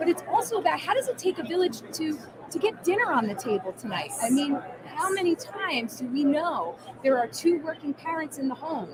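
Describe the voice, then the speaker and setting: Over crowd noise in the background, a voice with a New Jersey accent moves at a fairly quick pace with very wide pitch swings. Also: woman, extremely high pitch for a woman. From New Jersey, US Northeast. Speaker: food brand marketer. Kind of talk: interview at trade show.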